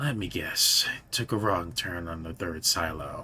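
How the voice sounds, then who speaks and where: In a put-on character voice, a man whispers raspily at a moderate pace. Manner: whispering.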